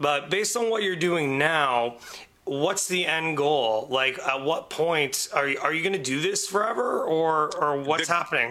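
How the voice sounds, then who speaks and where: Speaking at a moderate pace with a Canadian accent, a man keeps a fairly high pitch, ordinary pitch variation and very even loudness. Noticeable background noise is present. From Windsor, Ontario, Canada. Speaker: podcast guest, radio show colleague. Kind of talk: casual chat.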